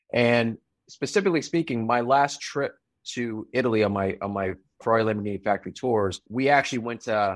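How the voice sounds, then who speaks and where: Over a quiet background, a man talks at a fairly quick pace in an unremarkable speaking voice with a medium pitch. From US, immigrant from Taiwan. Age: 40s. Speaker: entrepreneur. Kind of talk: interview.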